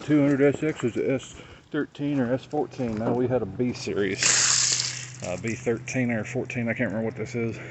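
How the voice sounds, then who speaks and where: Noticeable background noise under a moderate pace and ordinary pitch variation. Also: man. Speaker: car enthusiast vlogger. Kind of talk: casual vlog narration. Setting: outdoors. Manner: soft-spoken.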